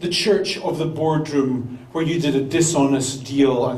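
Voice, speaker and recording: A man speaks at a moderate pace while noticeable background noise runs beneath him. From Britain. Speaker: pastor. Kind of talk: sermon. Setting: church.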